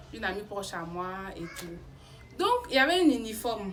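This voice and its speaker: A woman's animated voice in an Ivorian accent, with noticeable background noise and audible room echo. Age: 20s. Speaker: YouTuber. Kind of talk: storytelling. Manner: halting.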